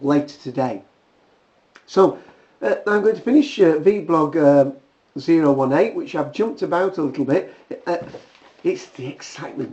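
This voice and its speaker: A man is speaking. He has a British accent. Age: 60s. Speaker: video blogger. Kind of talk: casual vlog monologue. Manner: hesitant, many fillers.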